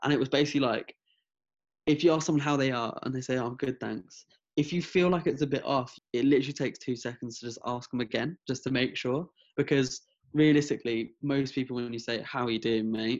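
A man speaks at a very fast pace and a medium pitch. His intonation is fairly even, and the background is quiet. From France and England (Hertfordshire). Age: 20s. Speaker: mental health advocate. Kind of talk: interview. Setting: video call. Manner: halting.

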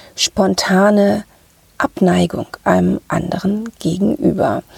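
The voice is somewhat breathy with a dark, mellow tone, speaking very slowly with lively intonation in a dry, close sound with no echo. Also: woman. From Ruhr area, Germany. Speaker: podcast host, sales psychology coach. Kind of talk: solo podcast talk.

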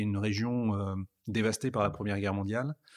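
A man speaks with fairly even intonation. His voice is fairly low in pitch, an unremarkable speaking voice. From northern France (Pas-de-Calais mining basin, Liévin near Lens). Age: 40s. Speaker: automotive communications executive. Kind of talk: interview. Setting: at the guest's home.

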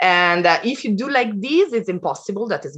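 A woman speaks at a moderate pace in an Italian accent. Her tone is bright and sharp, and her pitch swings very widely. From Italy. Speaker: design program leader and educator. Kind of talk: interview. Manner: halting.

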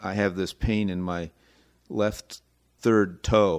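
Over a silent background in a very clean recording, a man talks very slowly at a very deep, low pitch with fairly even intonation. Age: 70s. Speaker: co-host and cancer patient. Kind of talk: casual chat.

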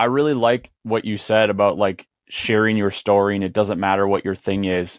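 A man speaks at a moderate pace in a fairly low pitch, with an ordinary speaking voice. The sound is dry and close, with no echo. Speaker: podcast co-host and producer. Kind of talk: casual podcast interview.

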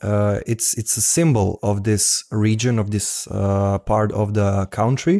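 Speaking with a Croatian accent, a man uses a fairly low pitch, a dark, mellow tone, fairly even intonation and very even loudness. His pace is fairly slow with hardly any pauses, on a very clean recording with a silent background. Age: 20s.

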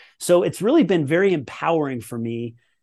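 A man with an ordinary speaking voice uses lively intonation at a moderate speed, the background quiet. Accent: General American. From Colorado, US. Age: 40s. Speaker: former pro tennis player and performance coach. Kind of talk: podcast interview.

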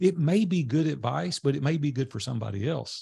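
Somewhat breathy, with a dark, mellow tone, a man speaks at a moderate pace with lively intonation. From US South, Nashville, Tennessee. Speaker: entrepreneur and mastermind group leader. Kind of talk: interview storytelling.

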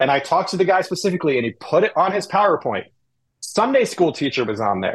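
An American man talks at a very fast pace with lively intonation and a high pitch. The background is quiet. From Indianapolis, US Midwest. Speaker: mortgage loan specialist. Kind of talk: casual chat.

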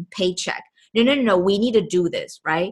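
Lively in intonation, a woman speaks at a moderate pace. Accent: Chinese. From Taiwan (Taipei). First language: Mandarin Chinese. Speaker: podcast host, entrepreneur coach. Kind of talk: motivational monologue. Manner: animated.

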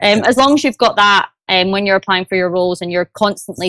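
With a Glaswegian accent, a woman speaks at medium pitch. The sound is dry and close, with no echo. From Scotland, Glasgow. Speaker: sales development rep. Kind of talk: interview. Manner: enthusiastic.

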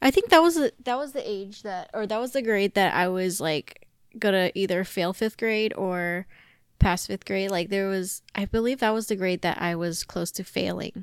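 A woman with an American accent and an unremarkable speaking voice, medium in pitch with ordinary pitch variation, on a very clean recording with a silent background. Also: dry, close sound with no echo. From US, Chinese American family. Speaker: podcast co-host. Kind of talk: casual chat.

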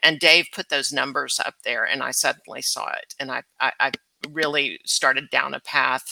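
A woman with an American accent at a moderate pace, in a dry, close sound with no echo. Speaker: imaging company founder.

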